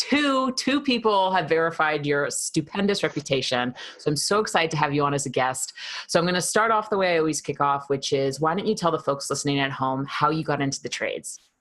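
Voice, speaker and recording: A speaker with a New York accent talks at a very fast pace. The intonation is lively. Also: woman, very deep, low pitch for a woman. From New York, Queens. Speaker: podcast host. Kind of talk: podcast interview.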